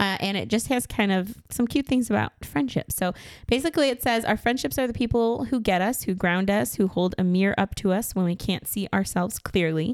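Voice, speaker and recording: In a plain, everyday voice, a woman of medium pitch speaks at a fairly quick pace with lively intonation, very even loudness and hardly any pauses. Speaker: podcast host. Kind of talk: casual chat.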